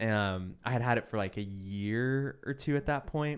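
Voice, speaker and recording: A man with an ordinary speaking voice at a medium pitch and moderate pace, with ordinary pitch variation, on a very clean recording with a silent background. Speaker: guest telling stories. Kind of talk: casual storytelling chat. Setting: studio with headphones.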